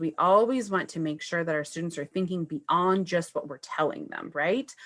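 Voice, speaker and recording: With an unremarkable speaking voice, a woman talks at a fairly low pitch and with lively intonation. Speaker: first grade teacher. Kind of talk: presentation on Facebook Live. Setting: live video stream.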